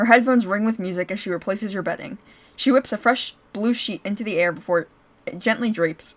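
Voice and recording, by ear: The pitch varies in an ordinary way as a natural voice reads aloud.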